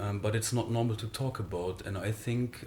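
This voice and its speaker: The speaker has a German accent and fairly even intonation. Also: man. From Germany. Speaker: spiritual speaker. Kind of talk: interview conversation. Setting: recorded in the Netherlands. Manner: halting, many fillers.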